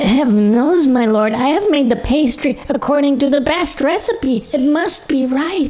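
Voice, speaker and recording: A shaky, high-pitched put-on character voice at a moderate pace with hardly any pauses, over light background noise. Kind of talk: formal, archaic. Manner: trembling, fearful.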